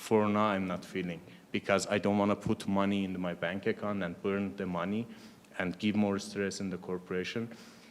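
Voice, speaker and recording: A man with a non-native accent talks at a moderate pace in a fairly low pitch, his intonation monotone and flat. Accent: foreign. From Iran. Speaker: biotech startup founder. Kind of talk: panel discussion.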